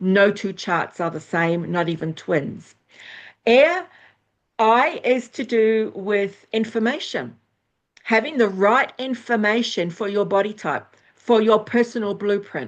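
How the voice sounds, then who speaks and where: This woman has a plain, everyday voice, pitched fairly high, with lively intonation. She talks at a fairly slow pace over a quiet background. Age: 60s. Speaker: astrologer and former nurse. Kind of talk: interview.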